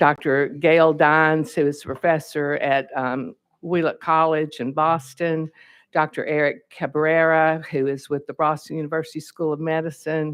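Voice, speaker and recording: In a Southern accent, a woman speaks fairly slowly in a very deep, low, flat monotone. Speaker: state legislator, bill sponsor. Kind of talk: committee hearing testimony. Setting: legislative hearing room at podium.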